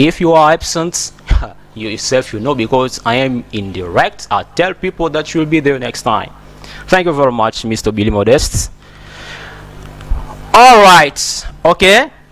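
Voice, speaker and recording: Over noticeable background noise, a man speaks fairly slowly at a fairly high pitch, his pitch swinging very widely, with long, frequent pauses. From DR Congo. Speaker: English teacher. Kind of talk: tutorial.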